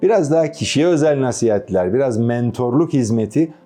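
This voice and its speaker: A man with lively intonation at a moderate pace, music in the background. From Istanbul, Turkey. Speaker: voice actor. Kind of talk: interview.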